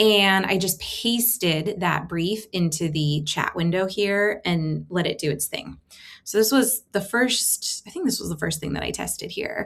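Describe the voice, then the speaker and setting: A woman talks at a fairly slow pace. Her pitch shows ordinary variation. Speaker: tech content creator; creator showing her AI experiments. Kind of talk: screen-share tutorial. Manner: casual, filler-heavy. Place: home room. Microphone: webcam.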